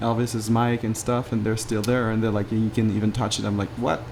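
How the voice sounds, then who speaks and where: A man with a French accent speaks at a medium pitch in a monotone, flat intonation. Noticeable background noise is present. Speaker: podcast host. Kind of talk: casual conversational interview.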